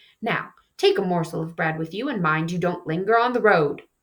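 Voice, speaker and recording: A growling, middle-pitched, put-on character voice. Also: fairly quick pace. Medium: read story. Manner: firm, commanding.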